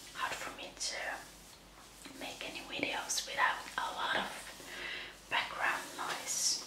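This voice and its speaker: Very slowly, someone whispers. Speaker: ASMR creator. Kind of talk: ASMR whispered magazine flip-through. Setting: home recording, quiet room. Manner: soft, whispered. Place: home room.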